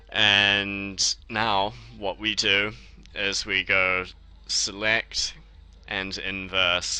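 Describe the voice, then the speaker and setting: In a New Zealand accent, the voice moves at a very slow pace with long, frequent pauses and monotone, flat intonation. The tone is bright and sharp, and the background is quiet. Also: man, fairly low pitch for a man. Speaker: software tutorial maker. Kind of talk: tutorial. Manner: casual.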